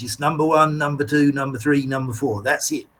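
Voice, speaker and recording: Here a man is speaking. His voice is somewhat breathy. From England, East Anglia (Colchester, North Essex). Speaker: English teacher. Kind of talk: lecture. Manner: talkative, repetitive.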